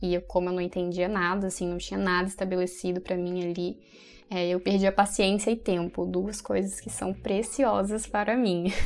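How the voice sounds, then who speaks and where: Over music in the background, a woman speaks at a medium pitch and moderate pace with monotone, flat intonation. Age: 20s. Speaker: pharmacy student and content creator. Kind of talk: casual interview.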